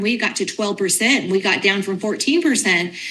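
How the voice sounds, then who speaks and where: A woman speaks at a fairly quick pace in a bright, sharp tone with lively intonation. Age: 60s. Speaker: financial advisor. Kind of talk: TV interview.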